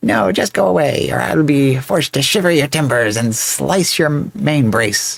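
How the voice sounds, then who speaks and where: A man's put-on character voice, medium pitch, moderate pace. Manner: gruff, threatening.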